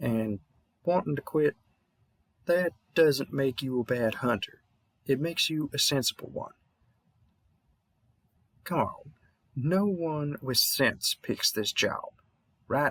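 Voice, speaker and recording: A man's put-on character voice in a Southern US accent, fairly high-pitched and mumbling, at a fairly slow pace with long, frequent pauses. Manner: mumbling, reassuring.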